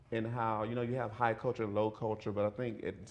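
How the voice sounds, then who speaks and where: With a Southern accent, a man speaks at a medium pitch amid audible room echo. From US South, rural central Florida. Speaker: video and performance artist. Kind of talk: lecture. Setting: lecture hall with audience. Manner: halting, repeats words.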